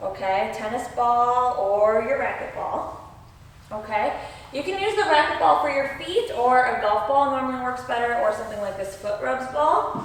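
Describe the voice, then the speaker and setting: Pitch swings very widely at a moderate pace. Noticeable background noise and audible room echo fill the recording. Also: woman, high pitch for a woman. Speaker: ballet teacher. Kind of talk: tutorial. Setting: dance studio.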